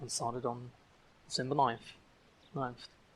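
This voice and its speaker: A man with a non-native accent speaks in a monotone with flat intonation. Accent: non-native English, audible. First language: German. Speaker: language learner vlogger. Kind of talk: casual vlog monologue. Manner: slurred words; halting, many fillers and repeats. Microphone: poor audio quality.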